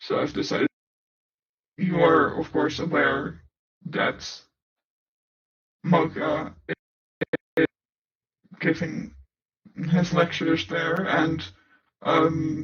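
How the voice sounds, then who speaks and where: Putting on a character voice, a man speaks at a fairly high pitch and a very slow pace, with long, frequent pauses. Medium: audio drama. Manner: formal, measured.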